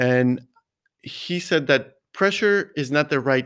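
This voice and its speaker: Very slow speech with ordinary pitch variation on a very clean recording with a silent background. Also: man. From US, Mexican-American. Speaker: golf coach. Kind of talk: interview.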